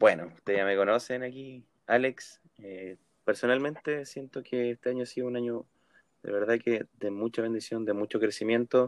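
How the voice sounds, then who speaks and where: Recorded dry and close with no echo, a man with a Chilean accent and medium pitch talks at a moderate pace with fairly even intonation. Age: 20s. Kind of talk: casual chat.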